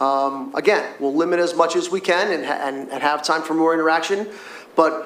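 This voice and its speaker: This man's voice sits high in pitch, with audible room echo and noticeable background noise. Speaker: school district administrator. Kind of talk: public meeting response. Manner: fast.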